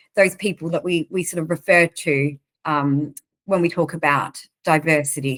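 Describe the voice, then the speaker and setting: Speaking at a moderate pace in an Australian accent, a woman keeps a fairly low pitch and fairly even intonation. The sound is dry and close, with no echo. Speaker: recruitment organization leader. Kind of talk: interview.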